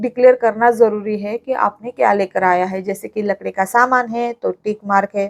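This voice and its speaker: The recording is dry and close, with no echo. A woman talks in a Marathi accent. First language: Marathi (speaking Hindi). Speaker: vlogger. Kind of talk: vlog tutorial. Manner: hesitant fillers.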